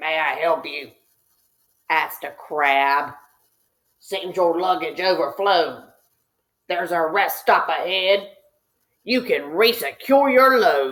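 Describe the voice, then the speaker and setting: A put-on character voice from a woman, medium in pitch, fairly slow, with long, frequent pauses. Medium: read story. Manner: helpful.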